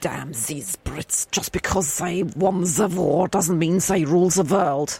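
Putting on a character voice, a woman speaks raspy and fairly low at a fairly slow pace. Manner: mumbling.

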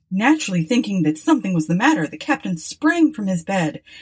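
The speaker uses a natural reading voice.

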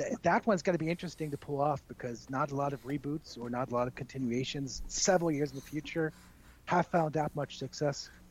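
A man's fairly high, somewhat breathy voice with an American accent, at a very fast pace. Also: ordinary pitch variation. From Texas, El Paso. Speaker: wrestling broadcaster. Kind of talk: casual interview. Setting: remote call.

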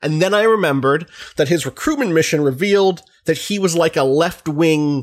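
The recording is very clean with a silent background. A man speaks in a normal speaking voice at a fairly high pitch. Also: very even loudness. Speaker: game critic. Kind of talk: casual chat.

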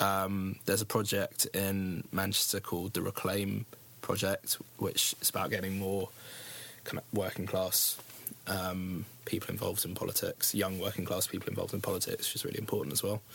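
A man speaks with a British accent at a moderate pace. His fairly low voice is monotone and flat. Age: 20s. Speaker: youth campaign group founder. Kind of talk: interview. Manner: hesitant, many ums.

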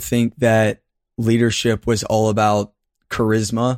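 He speaks at a moderate pace and medium pitch. This man has an unremarkable speaking voice. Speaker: leadership content creator. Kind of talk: casual interview conversation. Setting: remote call. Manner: laughs often, playful.

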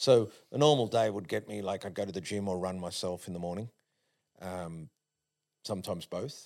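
Over a silent background in a very clean recording, a man with an Australian accent speaks at a moderate pace and fairly low pitch, with ordinary pitch variation and long, frequent pauses. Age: 50s. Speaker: sprint coach. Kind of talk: casual chat. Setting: studio.

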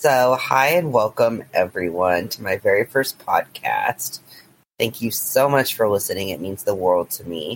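A normal speaking voice from a man at medium pitch, fairly slow pace, lively intonation, big swings in loudness, and a dry, close sound with no echo. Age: 20s. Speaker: podcast host. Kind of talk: interview.

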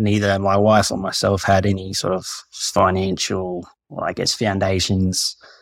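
In an Australian accent, the speaker talks at a fairly slow pace with monotone, flat intonation. The recording is very clean, with a silent background. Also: man, fairly low pitch for a man. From Queensland, Australia (Gympie). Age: 30s. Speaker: listener seeking financial advice. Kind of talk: advisory consultation call.

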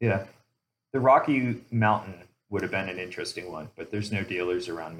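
A man with a normal speaking voice, fairly low pitch, ordinary pitch variation, a fairly quick pace and big swings in loudness. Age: 40s. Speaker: mountain biker, show member. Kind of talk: casual chat.

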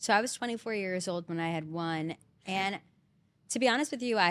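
A woman with an American accent has an ordinary speaking voice at a medium pitch with ordinary pitch variation. She talks at a fairly quick pace on a very clean recording with a silent background. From New Jersey, Jersey Shore. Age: 30s. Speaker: reality TV contestant. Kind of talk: casual chat.

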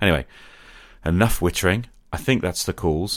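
On a very clean recording with a silent background, a man speaks at a moderate pace with a low pitch, a fairly bright tone and ordinary pitch variation.

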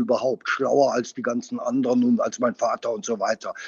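A man with ordinary pitch variation. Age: 60s. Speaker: winemaker. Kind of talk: interview conversation. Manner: hesitant, many fillers.

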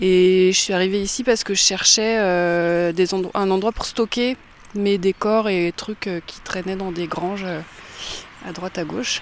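Noticeable background noise sits behind a woman speaking at a fairly slow pace, her medium pitch held in fairly even intonation. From Langres, Haute-Marne, France. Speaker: arts venue organizer. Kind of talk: interview.

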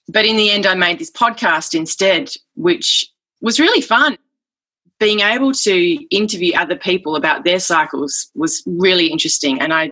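A woman speaks with an Australian accent in a bright, sharp tone. Her pitch swings very widely. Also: medium pitch for a woman, moderate pace. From Western Australia. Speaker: folk singer and author. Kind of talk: casual interview.

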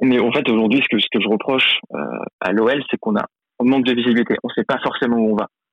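At a very fast pace, a man speaks at medium pitch with monotone, flat intonation. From Lyon, France. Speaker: football fan pundit. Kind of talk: casual chat.

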